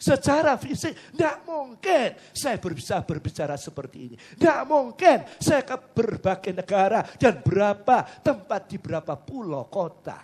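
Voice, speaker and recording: A man at a fairly slow pace, with very wide pitch swings and big swings in loudness. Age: 60s. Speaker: pastor. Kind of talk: sermon.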